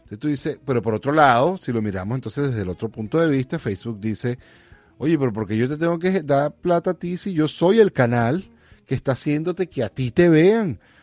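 A man's fairly high voice at a fairly quick pace, with very wide pitch swings and a dry, close sound with no echo. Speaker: podcast host. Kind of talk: casual monologue.

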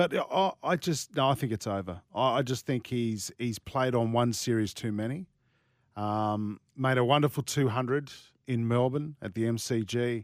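A man talks in an Australian accent with ordinary pitch variation. The sound is dry and close with no echo, in a very clean recording with a silent background. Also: medium pitch for a man, moderate pace. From Sydney, Australia. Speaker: sports radio host. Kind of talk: casual chat; scripted ad read.

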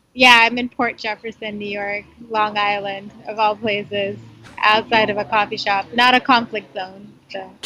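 Bright and sharp in tone, a woman speaks at a fairly high pitch and moderate pace, her intonation monotone and flat while her loudness swings widely. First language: not English. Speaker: foreign correspondent. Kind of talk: interview. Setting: phone call outside a coffee shop.

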